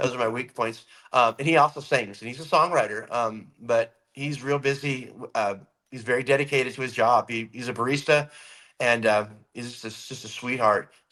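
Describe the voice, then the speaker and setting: A man at medium pitch with a bright, sharp tone, moderate pace, fairly even intonation and big swings in loudness. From California. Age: 50s. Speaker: rock musician. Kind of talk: interview.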